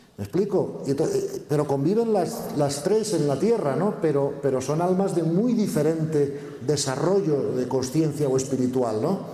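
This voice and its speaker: A man speaks at a fairly slow pace with lively intonation and hardly any pauses. Noticeable background noise and audible room echo fill the recording. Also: fairly high pitch for a man. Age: 60s. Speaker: conference speaker. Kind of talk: conference Q&A answer. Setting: stage with audience.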